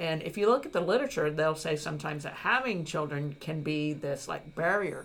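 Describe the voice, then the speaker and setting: A woman speaks at a moderate pace with a very deep, low pitch and ordinary pitch variation. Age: 50s. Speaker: podcast host, university educator. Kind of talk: interview.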